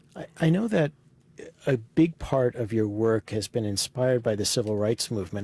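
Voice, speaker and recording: A man's medium-pitched voice at a moderate pace, in a very clean recording with a silent background and a dry, close sound with no echo. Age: 50s. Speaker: interviewer. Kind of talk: oral history interview. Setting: recording booth in a library. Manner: hesitant, many fillers.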